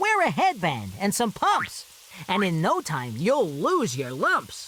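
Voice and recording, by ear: A cartoonish character voice at middle pitch speaks at a fairly slow pace.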